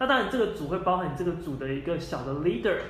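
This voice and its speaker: At a very fast pace, this loud voice makes very wide pitch swings, with audible room echo and noticeable background noise. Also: man. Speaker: software engineer. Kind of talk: interview.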